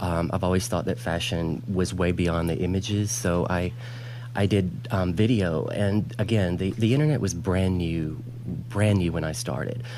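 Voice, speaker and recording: In an American accent, a man talks at a moderate pace in a very deep, low voice with ordinary pitch variation. Audible room echo and noticeable background noise fill the recording. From US South, Alabama. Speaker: fashion designer. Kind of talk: TV interview.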